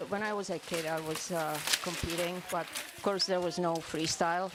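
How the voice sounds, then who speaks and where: Over noticeable background noise, a woman talks at a moderate pace in a fairly low, monotone voice with flat intonation. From Eastern Europe. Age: 60s. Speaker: masters biathlete. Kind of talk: interview. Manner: hesitant, with fillers.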